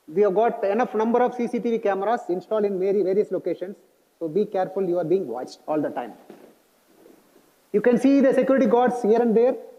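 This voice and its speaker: Talking at a very fast pace, a man with an Indian accent has a high pitch and ordinary pitch variation. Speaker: college staff member briefing new students on security. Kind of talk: orientation presentation.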